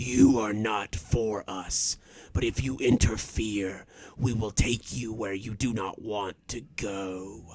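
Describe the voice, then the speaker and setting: Putting on a character voice, a man talks in a fairly low pitch at a fairly slow pace, with hissing. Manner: hissing, menacing.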